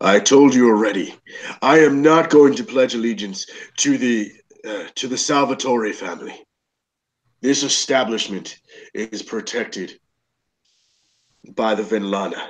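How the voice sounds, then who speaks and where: A man's gruff, put-on character voice at medium pitch and moderate pace, broken by long, frequent pauses. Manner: defiant, firm.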